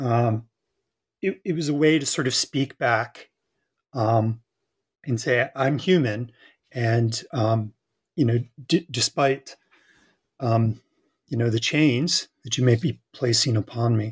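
A man's somewhat breathy, medium-pitched voice at a very slow pace, in a dry, close sound with no echo. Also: ordinary pitch variation. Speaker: academic and co-author.

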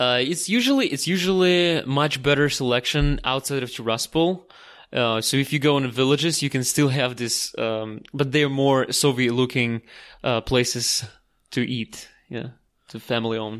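Speaking with a Russian accent and ordinary pitch variation, a man comes through in a very clean recording with a silent background. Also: medium pitch for a man, moderate pace. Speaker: tour guide. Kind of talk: casual interview. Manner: halting with many fillers.

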